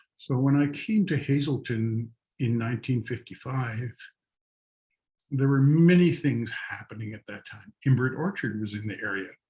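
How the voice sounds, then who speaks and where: A man talks at medium pitch and a moderate pace, somewhat breathy, in a dark, mellow tone. His pitch varies in an ordinary way while his loudness swings widely. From northern British Columbia, Canada. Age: 70s. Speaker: artist. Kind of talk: storytelling talk. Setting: outdoors.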